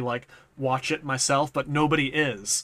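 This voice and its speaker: A man with an American accent, fairly high-pitched, bright and sharp in tone, with fairly even intonation. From New England, US. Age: 30s. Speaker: YouTube content creator. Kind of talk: casual chat.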